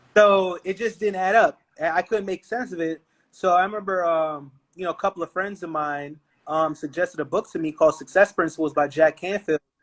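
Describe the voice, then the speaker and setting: Speaking at a fairly quick pace with an New York accent, a man has a high voice and ordinary pitch variation, recorded very cleanly against a silent background with a dry, close sound and no echo. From Brooklyn, New York. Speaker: entrepreneur. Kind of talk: podcast interview. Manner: animated.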